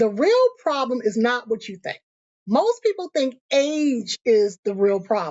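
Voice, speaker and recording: The speaker talks at a fairly slow pace, with pitch that swings very widely. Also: woman, high pitch for a woman. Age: 50s. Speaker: motivational YouTuber and author. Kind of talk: casual motivational talk to camera.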